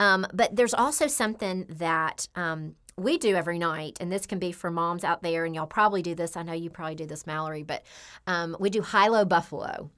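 On a very clean recording with a silent background, an ordinary speaking voice uses ordinary pitch variation and moves at a fairly quick pace. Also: woman, fairly low pitch for a woman. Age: 40s. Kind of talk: casual interview chat.

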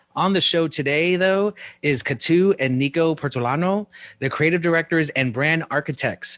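A man with a plain, everyday voice talks at a moderate pace with ordinary pitch variation, in a dry, close sound with no echo against a quiet background. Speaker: podcast host and design educator. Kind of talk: casual interview. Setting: live stream. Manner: upbeat, friendly.

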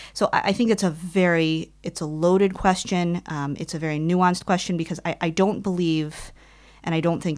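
This woman has an ordinary speaking voice with an American accent, a fairly low pitch and fairly even intonation, talking at a fairly quick pace in a very clean recording with a silent background. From US Midwest, Detroit, Michigan. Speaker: nonprofit executive and abuse-prevention advocate. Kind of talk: interview.

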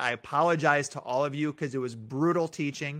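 A man's bright, sharp voice, fairly high in pitch, with a Midwestern American accent at a moderate pace, on a very clean recording with a silent background. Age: 30s. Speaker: school superintendent. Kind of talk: casual interview.

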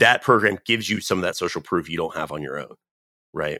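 A man with an American accent and a bright, sharp tone, ordinary pitch variation, dry, close sound with no echo, and a very clean recording over a silent background. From North Carolina. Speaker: startup founder. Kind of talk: casual interview.

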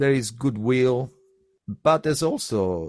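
A man speaks in an Italian accent with lively intonation. The background is quiet. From Sardinia, Italy. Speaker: touring musician. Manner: halting, hesitant with repeated words.

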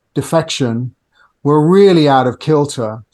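With a British accent, a man speaks at a fairly slow pace in a fairly high voice with ordinary pitch variation against a quiet background. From UK. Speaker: customer experience tech entrepreneur. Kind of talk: podcast interview.

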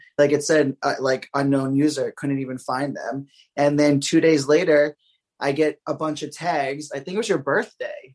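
At a moderate pace, a man with a plain, everyday voice speaks at a fairly high pitch with fairly even intonation. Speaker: gossip page runner. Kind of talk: casual chat.

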